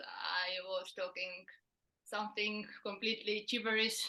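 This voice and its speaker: A woman's fairly high-pitched voice with a non-native accent. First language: not English. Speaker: non-duality channel host. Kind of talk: casual chat. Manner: halting.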